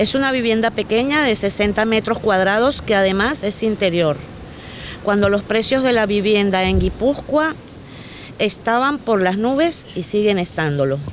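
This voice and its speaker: A woman with a fairly high pitch talks at a moderate pace, using lively intonation and very even loudness. Noticeable background noise sits behind her. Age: 60s. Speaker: affected homeowner. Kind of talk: reading a prepared statement.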